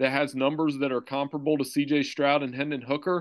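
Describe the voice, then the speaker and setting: Over a quiet background, a man with an unremarkable speaking voice talks at a moderate pace in a fairly high pitch. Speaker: sports journalist. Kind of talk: casual chat.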